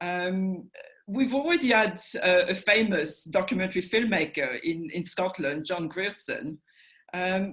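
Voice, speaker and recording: A woman with a French accent speaks with lively intonation. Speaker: documentary institute director. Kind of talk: interview. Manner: halting.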